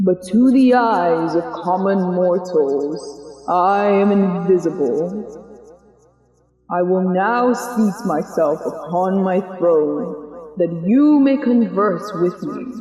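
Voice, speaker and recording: A put-on character voice at middle pitch moves at a very slow pace. A clear echo follows it. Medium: read story.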